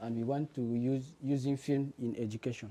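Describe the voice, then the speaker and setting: This man has a non-native accent and a dark, mellow tone at a medium pitch. He talks at a moderate pace with fairly even intonation. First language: not English. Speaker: student presenting a project. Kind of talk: project presentation. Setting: demo day before a jury. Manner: halting, many fillers.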